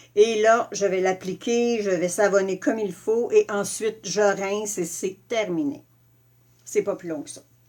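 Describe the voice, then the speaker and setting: With a Quebec accent, a woman at a medium pitch speaks at a fairly slow pace, showing ordinary pitch variation and big swings in loudness. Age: 60s. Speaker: makeup and skincare presenter. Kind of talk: live product tutorial. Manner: casual, hesitant with many fillers.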